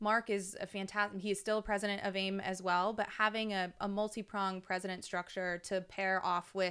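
A woman with an American accent speaks at a medium pitch in a bright, sharp tone with monotone, flat intonation, on a very clean recording with a silent background. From Texas (Dallas). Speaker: mortgage industry association executive. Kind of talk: casual interview. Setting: studio, in person.

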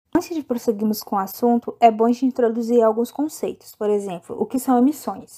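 A woman's high voice with a dark, mellow tone moves at a fairly quick pace with ordinary pitch variation and hardly any pauses. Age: 20s. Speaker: podcast host, chemical engineering student. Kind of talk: scripted narration.

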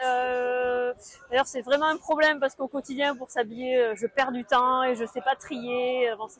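The recording carries noticeable background noise and a dry, close sound with no echo. A woman speaks at a high pitch. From southwest France, near the Pyrenees. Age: 40s. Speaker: accountant and amateur runner. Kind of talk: interview. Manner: halting, many hesitations.

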